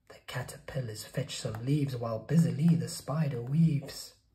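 A dark, mellow tone sounds through audible room echo. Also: man, medium pitch for a man, ordinary pitch variation, moderate pace.

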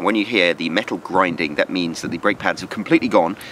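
Recorded dry with no echo over light background noise, a man speaks at a very deep, low pitch. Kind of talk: tutorial. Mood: wry, humorous. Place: street. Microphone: phone near.

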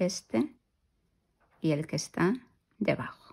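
The voice has vocal fry and a dark, mellow tone. It moves very slowly, with very wide pitch swings. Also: woman. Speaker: crochet youtuber. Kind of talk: tutorial.

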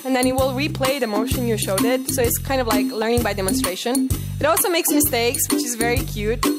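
A woman at a fairly high pitch and fairly quick pace, clear music in the background. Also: ordinary pitch variation.

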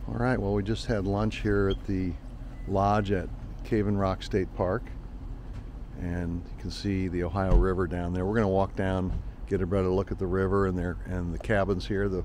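Light background noise sits under a man's very deep, low voice. He keeps a moderate pace and fairly even intonation, with a dry sound and no echo. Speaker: travel vlogger. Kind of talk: casual vlog chat. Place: cafe. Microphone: phone near.

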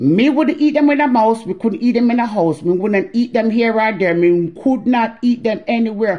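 An unforced reading voice, its intonation lively.

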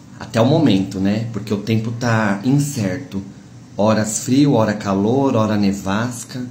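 Amid light background noise and audible room echo, a man of medium pitch talks at a fairly slow pace with fairly even intonation. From Brazil. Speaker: social media livestreamer; content creator. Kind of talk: casual vlog address to followers. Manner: warm, chatty. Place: kitchen. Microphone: phone near.

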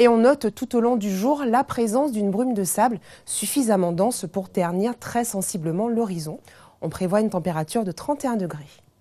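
A woman speaks with lively intonation. Her tone is warm, dark and mellow. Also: moderate pace. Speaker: TV weather presenter. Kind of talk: scripted television weather bulletin, read to camera. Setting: TV studio. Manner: smooth, even-paced and formal; warm, welcoming sign-on and sign-off. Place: studio.

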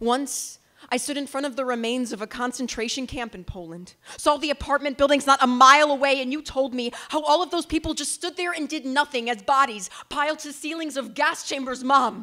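Over a quiet background, a woman speaks at a fairly quick pace in a raised, projected voice, with big swings in loudness and ordinary pitch variation. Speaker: slam poet. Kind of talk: spoken word poetry performance. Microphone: handheld.

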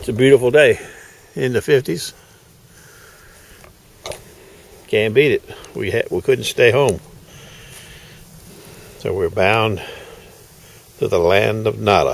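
A man's fairly slow delivery, broken by long, frequent pauses, in a dry sound with no echo. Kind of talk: casual vlog chat. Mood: relaxed, upbeat. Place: street. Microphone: phone near.

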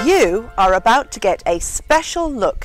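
Music plays in the background as a woman speaks with very wide pitch swings in a dry sound with no echo. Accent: British. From England. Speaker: English teacher. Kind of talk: casual talk to camera.

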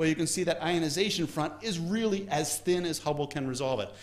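At a fairly quick pace, the man gets his words out. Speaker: astronomy lecturer. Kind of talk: lecture. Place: hall.

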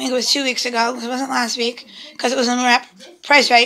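Her voice is raised and projected. This woman speaks with a high pitch. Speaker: family vlogger. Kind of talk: casual vlog. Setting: at home.

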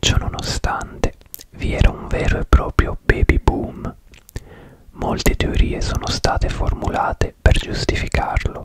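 Whispering and soft-spoken, a man goes at a fairly slow pace with long, frequent pauses, in a dry sound with no echo over light background noise. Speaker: true crime narrator. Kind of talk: true crime storytelling narration. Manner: close-mic soft Italian whisper. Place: home room. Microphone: studio mic.

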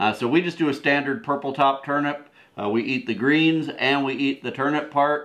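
This is an ordinary speaking voice, a man with an American accent. His pitch is medium and his intonation fairly even. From Wisconsin. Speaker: homesteading video co-host. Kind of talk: casual gardening talk to camera. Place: home room. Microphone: camera far.

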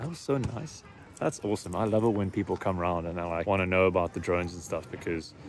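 Over light background noise, a man with a very deep, low pitch talks at a very fast pace. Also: dry sound with no echo. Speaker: drone hobbyist vlogger. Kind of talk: casual vlog chat. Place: open country. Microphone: phone near.

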